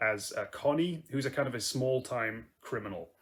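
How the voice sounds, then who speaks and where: A man at a medium pitch speaks at a moderate pace with ordinary pitch variation, in an ordinary speaking voice. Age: 20s. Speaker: acting school applicant. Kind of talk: audition self-introduction.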